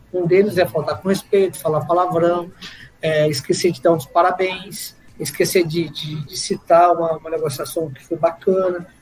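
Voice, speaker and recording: A man talks at a high pitch with music in the background. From Brazil, Guaratinguetá, São Paulo state. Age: 40s. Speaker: car dealership owner. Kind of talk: casual interview.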